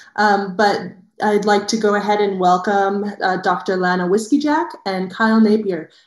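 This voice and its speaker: Against a quiet background with audible room echo, a woman speaks at a moderate pace with ordinary pitch variation. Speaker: conference session moderator. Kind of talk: casual discussion and introductions. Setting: video call. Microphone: video call.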